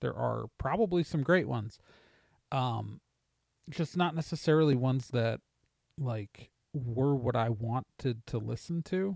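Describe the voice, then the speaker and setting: On a very clean recording with a silent background and a dry, close sound with no echo, a man with an American accent speaks at a fairly slow pace with ordinary pitch variation and long, frequent pauses. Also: medium pitch for a man. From Wisconsin, US Midwest. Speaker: podcast host. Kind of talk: casual monologue answering listener mail. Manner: halting, many fillers.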